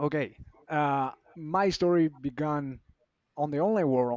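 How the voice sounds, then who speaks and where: Fairly high-pitched male voice in a Spanish accent, with ordinary pitch variation. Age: 30s. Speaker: business coach. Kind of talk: testimony. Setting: livestream.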